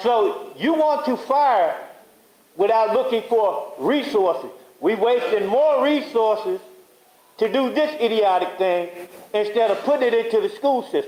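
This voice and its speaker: Over noticeable background noise, a man with an extremely high pitch speaks at a fairly slow pace and very even loudness. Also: lively intonation. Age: 60s. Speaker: local resident speaking at public comment. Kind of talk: public comment at board meeting. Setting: public board meeting.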